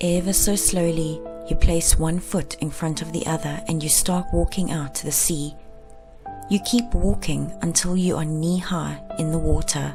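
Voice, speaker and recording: A woman speaks with a gentle tone in a South African accent. Music plays in the background. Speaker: meditation guide. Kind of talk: guided meditation. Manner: gentle, slow, soft-spoken.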